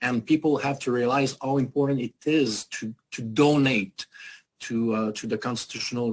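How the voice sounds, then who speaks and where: Speaking in a French accent, a man keeps a moderate pace. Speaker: activist foundation leader. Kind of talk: panel interview. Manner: halting, many hesitations.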